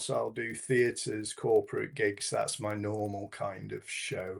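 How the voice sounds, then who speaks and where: A man talks at a fairly slow pace in a Yorkshire accent. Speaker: hypnotherapist and stage hypnotist. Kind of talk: interview.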